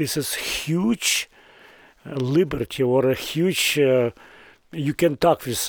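A man speaks at a very slow pace, with ordinary pitch variation. The sound is dry and close, with no echo. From southern Ukraine. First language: Russian or Ukrainian. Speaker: business owner and community leader. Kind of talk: interview. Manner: halting.

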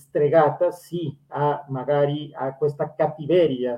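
With a Spanish accent, a man talks at a very slow pace in a fairly high pitch. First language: Spanish (speaking Italian). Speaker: language school host. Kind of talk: interview.

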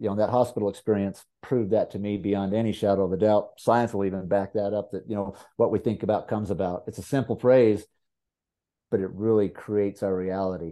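Here a man speaks in a normal speaking voice at a fairly quick pace. His pitch sits fairly low. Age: 50s. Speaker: horse trainer. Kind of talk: casual chat.

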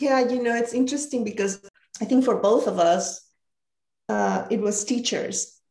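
A woman speaks in a Spanish accent with a dark, mellow tone. Vocal fry runs through her voice. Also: fairly high pitch for a woman, ordinary pitch variation, moderate pace. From Mexico. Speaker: leadership coach. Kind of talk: interview conversation.

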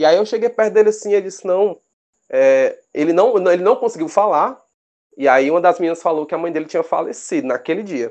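A man's high-pitched voice with lively intonation at a fairly quick pace. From Brazil, Fortaleza, Ceará. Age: 20s. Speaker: rugby referee and biologist. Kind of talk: casual interview. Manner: hesitant, repeats words.

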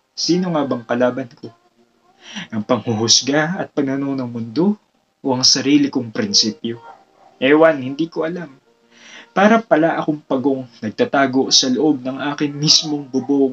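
Music plays in the background as a man talks at a moderate pace, his loudness swinging widely and his pitch varying in an ordinary way. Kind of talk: spoken word poetry performance. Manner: reflective, earnest, rhythmic delivery; rhyme-driven, rising emotion, pauses for effect.

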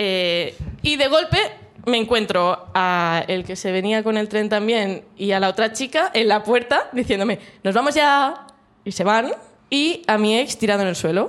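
In a normal speaking voice, a woman talks at a fairly slow pace with a fairly high pitch and lively intonation. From Catalonia, Mataró. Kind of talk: storytelling.

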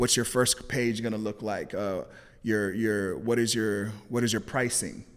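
On a very clean recording with a silent background, a man at a medium pitch speaks at a fairly slow pace with monotone, flat intonation. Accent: Californian. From Los Angeles, California. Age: 30s. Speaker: entrepreneur and videographer. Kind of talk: casual interview.

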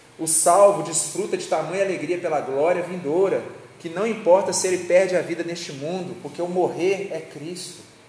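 Against noticeable background noise and audible room echo, a high-pitched man speaks at a moderate pace with monotone, flat intonation and big swings in loudness. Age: 30s. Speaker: preacher. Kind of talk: sermon.

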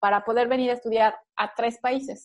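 A woman's plain, everyday voice, fairly high in pitch, at a moderate pace with fairly even intonation over a quiet background. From Mexico. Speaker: nutrition doctor, former lecturer. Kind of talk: interview.

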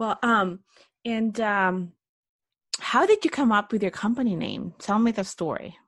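Over a quiet background, a woman speaks fairly slowly in a somewhat breathy voice, her fairly high pitch showing ordinary variation, with long, frequent pauses. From Philippines. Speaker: podcast host, entrepreneur. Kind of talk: interview.

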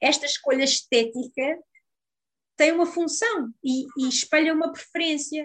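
In a European Portuguese accent, a woman with a high pitch speaks at a fairly slow pace with ordinary pitch variation. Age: 30s. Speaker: psychologist and sex therapist. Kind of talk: interview.

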